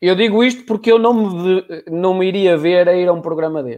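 A man keeps a moderate pace, the background around him quiet. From Portugal. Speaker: live show host. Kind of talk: live interview. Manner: energetic. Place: home room. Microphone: video call.

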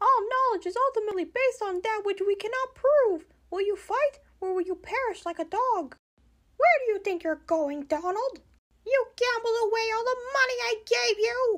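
In a cartoonish character voice, a man speaks at a moderate pace with an extremely high pitch. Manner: upbeat.

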